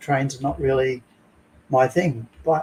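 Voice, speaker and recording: This man has a plain, everyday voice, pitched in the medium range with fairly even intonation. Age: 60s. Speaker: model maker. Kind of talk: casual chat.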